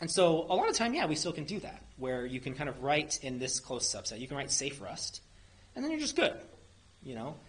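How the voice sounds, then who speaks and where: Fairly quick, fairly high-pitched speech from a man, pitch varying in an ordinary way, noticeable background noise behind. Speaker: software engineer presenting at a meetup. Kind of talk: technical presentation with audience Q&A. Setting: meetup room with live audience. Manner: fast; casual, many fillers and restarts.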